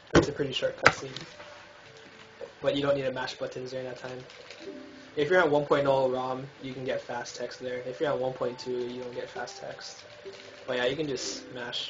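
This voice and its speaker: A man speaks at a medium pitch in a monotone, flat way, with long, frequent pauses and big swings in loudness. Audible room echo and noticeable background noise surround him. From Hawaii. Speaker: speedrunner streamer. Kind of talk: tutorial. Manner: fast.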